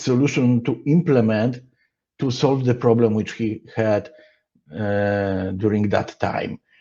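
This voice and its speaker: Speaking very slowly with a Polish accent, a man has a dark, mellow tone. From Poland. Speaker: software engineer / conference speaker. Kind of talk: conference talk. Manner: halting, with many fillers.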